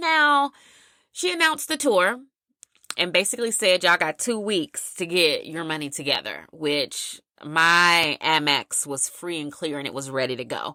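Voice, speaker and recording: A woman with a fairly low pitch and a bright, sharp tone talks at a moderate pace, her animated delivery swinging very widely in pitch, on a very clean recording with a silent background. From US South, South Carolina. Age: 40s. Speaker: podcast host, fitness instructor. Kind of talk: casual chat.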